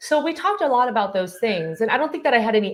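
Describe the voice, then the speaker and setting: Lively intonation marks this woman's speech, delivered at a very fast pace. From Taiwan, moved to US at nine. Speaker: clinical psychologist, professor and author. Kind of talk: interview.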